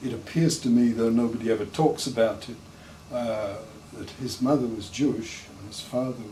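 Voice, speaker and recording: Against audible room echo, a man with a southern English accent and medium pitch talks at a fairly slow pace with ordinary pitch variation. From southern England, Hampshire. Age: 70s. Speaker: anthropologist. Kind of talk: interview.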